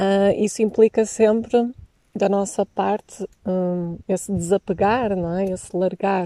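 A woman with a European Portuguese accent at a medium pitch, dark and mellow in tone, monotone with flat intonation, at a very slow pace, with a dry, close sound and no echo. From Portugal. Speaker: podcast host. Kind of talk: interview. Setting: outdoors by a lake.

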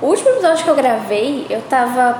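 A woman with a high pitch speaks at a moderate pace with lively intonation. The room has an audible echo and there is noticeable background noise. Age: 20s. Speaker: podcaster. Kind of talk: casual monologue. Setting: empty school room after hours.

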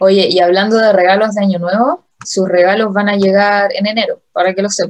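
A woman with a Chilean accent speaks at a medium pitch, with ordinary pitch variation and very even loudness. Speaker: podcast co-host. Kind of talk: casual chat.

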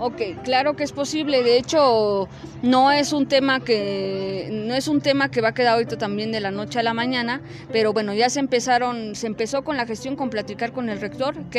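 Over noticeable background noise, a woman speaks fairly quickly at a fairly high pitch with ordinary pitch variation. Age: 20s. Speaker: public official and campaign coordinator. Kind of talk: interview. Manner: halting.

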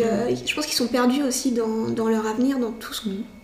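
With audible room echo and noticeable background noise, a woman talks at a moderate pace in a fairly high pitch with fairly even intonation. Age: 20s. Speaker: psychiatric nurse. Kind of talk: interview.

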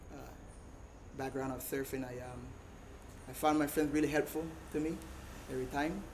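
A man talks in a Costa Rican Caribbean accent with a monotone, flat delivery. The room echoes audibly, and background noise is noticeable. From Costa Rica, Caribbean coast. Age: 30s. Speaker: surfer. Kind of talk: talk to a live audience.

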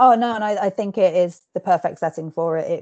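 In a dry, close recording with no echo and a quiet background, a woman talks at a fairly quick pace with a dark, mellow tone and ordinary pitch variation. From England. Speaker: book reviewer and podcast host. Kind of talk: casual interview and book review. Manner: hesitant with many fillers.

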